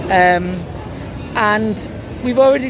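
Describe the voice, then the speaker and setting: Speaking amid noticeable background noise, a woman is heard with audible room echo. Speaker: travel vlogger. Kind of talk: casual chat.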